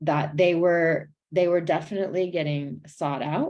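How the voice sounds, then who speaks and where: A woman speaks in an American accent with a dark, mellow tone. Her intonation is monotone and flat. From US Pacific Northwest, South King County, Washington. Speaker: domestic violence prevention presenter. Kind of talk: webinar presentation.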